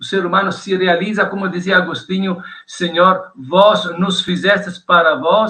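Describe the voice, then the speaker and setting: A man speaks at a high pitch. His pace is fairly slow and his pitch variation ordinary. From Italy. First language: Italian (speaking Portuguese). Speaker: theology professor. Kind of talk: interview.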